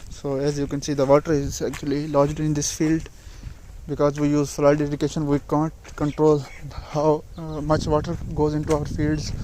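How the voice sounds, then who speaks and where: A man talks at a moderate pace and fairly high pitch. His intonation is monotone and flat, with noticeable background noise behind him. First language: not English. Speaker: farmer vlogger. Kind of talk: casual vlog narration. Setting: outdoors in fields. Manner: halting.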